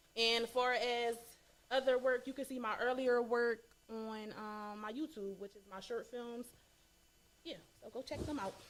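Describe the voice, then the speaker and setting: A woman speaks at a high pitch and a fairly slow pace, with long, frequent pauses. Her intonation is fairly even, while her loudness swings a lot. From Chester, Pennsylvania, US. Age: 20s. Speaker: filmmaker. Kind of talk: interview.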